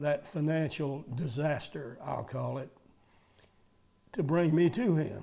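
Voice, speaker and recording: A man's fairly high voice with a dark, mellow tone and a Georgia accent. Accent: Georgia Southern. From US South. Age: 80s+. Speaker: retired car dealer. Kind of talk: interview testimony. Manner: halting.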